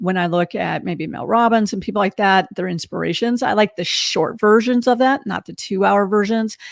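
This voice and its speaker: A woman with ordinary pitch variation, in a dry, close sound with no echo and a very clean recording over a silent background. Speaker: podcast host. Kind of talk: interview conversation. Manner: fast.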